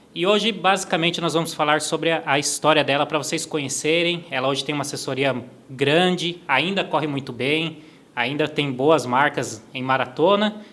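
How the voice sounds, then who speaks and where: With ordinary pitch variation, this man's voice sits fairly high. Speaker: podcast host. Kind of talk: interview podcast. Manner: fast.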